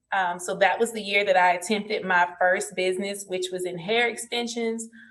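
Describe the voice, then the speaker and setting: Moderate pace, medium pitch and fairly even intonation from a woman, a plain, everyday voice. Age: 30s. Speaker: entrepreneur, business consultant. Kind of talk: interview.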